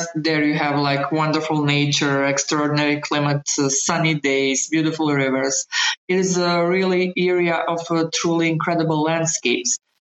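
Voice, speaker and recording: A woman speaks in a very deep, low pitch. Her intonation is monotone and flat, her loudness very even. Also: moderate pace. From Bosnia and Herzegovina, West Herzegovina. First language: Bosnian/Croatian. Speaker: journalist and ambassador. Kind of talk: interview testimony. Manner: halting.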